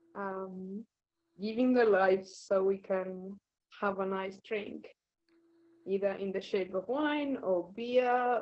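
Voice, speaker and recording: Here is a woman with an Argentinian accent and a medium pitch. She talks at a very slow pace with ordinary pitch variation. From Argentina. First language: Spanish. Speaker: wine fermentation scientist. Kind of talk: interview.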